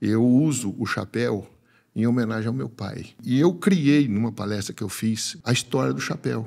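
With vocal fry and lively intonation, a man talks over a quiet background. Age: 50s. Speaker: animal scientist and agribusiness speaker; speaker. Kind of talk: personal testimony in interview. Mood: warm, reflective, emotional story. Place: studio. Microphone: studio mic.

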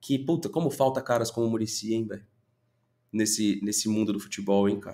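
An animated man at a fairly quick pace. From Brazil. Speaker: football YouTuber. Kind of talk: opinion commentary video. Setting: home studio. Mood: frustrated venting. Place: home room.

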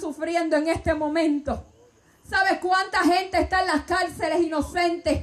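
At a fairly slow pace, a woman speaks with an extremely high pitch in an animated, passionate tone. Her loudness stays very even. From Puerto Rico. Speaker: Pentecostal preacher. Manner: animated, passionate and exhortative, rising to a loud preaching cadence. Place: tent. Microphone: handheld.

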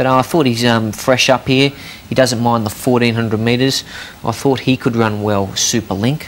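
Noticeable background noise sits behind fairly even intonation delivered at a moderate pace. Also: man, medium pitch for a man. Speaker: racing tipster. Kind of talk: casual chat.

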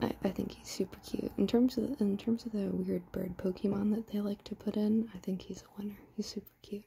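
Whispering and soft-spoken, the voice moves at a fairly quick pace with hardly any pauses over light background noise. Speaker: ASMR creator. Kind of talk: ASMR soft-spoken readthrough of a card game guide. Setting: ASMR recording with tapping and crinkling sounds. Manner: soft-spoken, whispering.

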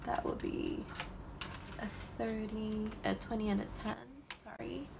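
Against clear background noise, a woman talks at a medium pitch and a fairly slow pace. Her voice has vocal fry and little pitch movement.

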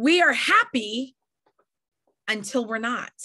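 Over a quiet background, a woman with an American accent speaks at a high pitch in an animated tone. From New York. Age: 40s. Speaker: network marketing leader and trainer. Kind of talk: motivational training talk. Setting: video call. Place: home room.

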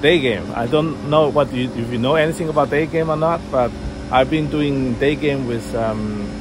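Noticeable background noise accompanies a man talking at a moderate pace. The sound is dry with no echo, and his pitch varies in an ordinary way. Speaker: vlogger. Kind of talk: casual vlog chat. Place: street. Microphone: phone near.

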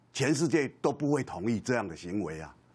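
Medium in pitch with vocal fry, a man speaks at a moderate pace as his pitch swings very widely. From Taiwan. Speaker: senior media commentator. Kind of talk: TV political panel talk. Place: studio.

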